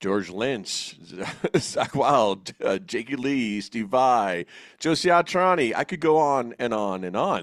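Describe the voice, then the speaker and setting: Very wide pitch swings mark this man's speech in an American accent. He talks at a fairly slow pace in a very clean recording with a silent background. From New Jersey. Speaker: podcast host. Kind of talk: casual interview chat. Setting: studio, co-host next to him.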